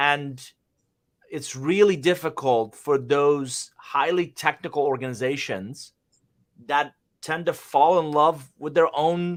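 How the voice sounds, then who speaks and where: At a very slow pace, a man with a non-native accent and a fairly high pitch speaks with ordinary pitch variation in a very clean recording with a silent background. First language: not English. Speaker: business consultant, livestream host. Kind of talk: business livestream discussion. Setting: live stream.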